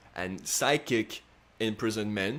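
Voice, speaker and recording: A man speaks with a non-native accent. His voice sits at a medium pitch. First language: not English. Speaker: astrology youtuber. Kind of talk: casual monologue. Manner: hesitant, many fillers.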